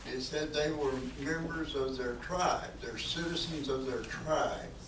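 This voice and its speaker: Someone with a Southern US accent speaks at a fairly slow pace, with audible room echo and noticeable background noise. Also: man. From US South. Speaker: civics presenter. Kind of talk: lecture.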